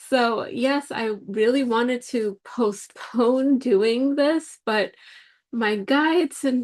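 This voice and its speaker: In a quiet background, a woman talks with a high pitch and ordinary pitch variation. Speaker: spiritual podcast host. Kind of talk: solo podcast monologue. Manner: hesitant, many fillers and restarts.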